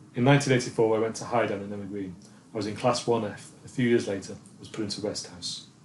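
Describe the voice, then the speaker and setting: A somewhat breathy man's voice of medium pitch, with fairly even intonation and a very fast pace. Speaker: filmmaker narrating own life. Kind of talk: scripted narration.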